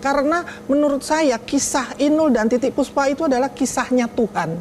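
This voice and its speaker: A woman with a high-pitched voice talks at a fairly quick pace, her loudness very even and her pitch varying in an ordinary way over noticeable background noise. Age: 60s. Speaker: daughter of late singer, talk show guest. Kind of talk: TV talk show interview.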